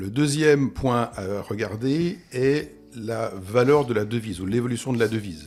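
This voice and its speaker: A man talks in a plain, everyday voice at medium pitch. His pitch varies in an ordinary way. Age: 60s. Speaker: real estate investment expert. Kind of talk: interview.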